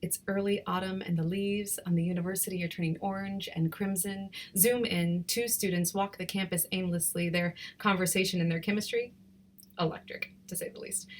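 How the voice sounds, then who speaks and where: Somewhat breathy and medium in pitch, a woman talks at a fairly quick pace in a flat monotone. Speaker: poet. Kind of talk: spoken word poetry.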